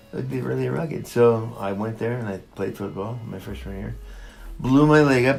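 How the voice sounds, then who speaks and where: Over background music and audible room echo, a man with a fairly low pitch talks at a moderate pace, his pitch swinging very widely and his loudness shifting greatly. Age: 70s. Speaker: retired coach. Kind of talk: interview. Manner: halting.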